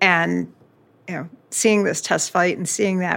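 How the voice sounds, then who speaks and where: The speaker talks at a fairly slow pace in an American accent. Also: woman. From US South, Florida. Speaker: engineering executive, panel moderator. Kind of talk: panel discussion.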